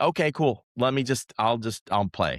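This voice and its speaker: Recorded very cleanly against a silent background, with dry, close sound and no echo, a man talks at a fairly quick pace with lively intonation. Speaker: wedding photographer. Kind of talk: casual chat. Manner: animated.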